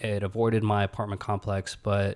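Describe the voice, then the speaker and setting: A man with an American accent speaks at a moderate pace in an unremarkable speaking voice. His pitch is fairly low, and the recording is very clean with a silent background. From US South, Huntsville, Alabama. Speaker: podcast host, pathology resident. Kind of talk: personal storytelling monologue.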